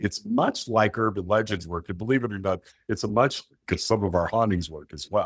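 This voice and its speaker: The recording is very clean with a silent background and a dry, close sound with no echo. A man talks at a moderate pace in a fairly low pitch. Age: 60s. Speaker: author and paranormal investigator. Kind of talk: interview. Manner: animated, repetitive false starts.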